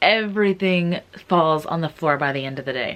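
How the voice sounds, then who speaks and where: The woman's fairly low pitch moves with ordinary variation. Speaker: thrift reseller vlogger. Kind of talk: casual thrift haul vlog. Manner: animated, excited; casual filler-heavy speech.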